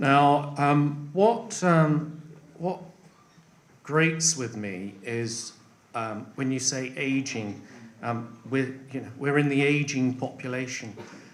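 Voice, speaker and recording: Against noticeable background noise and audible room echo, a man speaks very slowly at a fairly high pitch with ordinary pitch variation. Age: 50s. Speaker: election candidate. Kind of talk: hustings answer. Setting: parish hall with audience. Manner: halting, many fillers.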